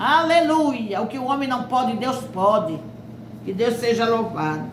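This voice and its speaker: Noticeable background noise and audible room echo surround this recording. A woman speaks at a fairly high pitch and a fairly slow pace. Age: 70s. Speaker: preacher. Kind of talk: sermon.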